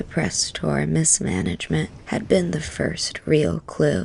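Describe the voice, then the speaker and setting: A soft-spoken voice at a fairly slow pace, set against noticeable background noise. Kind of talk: sleep story.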